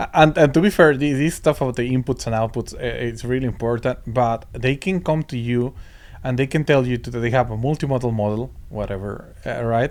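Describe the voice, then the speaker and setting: A man speaks at a fairly quick pace with a Spanish accent, his pitch sitting in the medium range. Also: ordinary pitch variation. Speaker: podcast co-host. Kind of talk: casual chat. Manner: halting, many repetitions and fillers.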